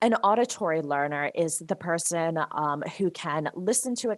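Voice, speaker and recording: A woman speaks with a New Jersey accent and ordinary pitch variation. The sound is dry and close, with no echo. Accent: New Jersey American. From US, New Jersey. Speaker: software consultant and trainer. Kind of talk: presentation.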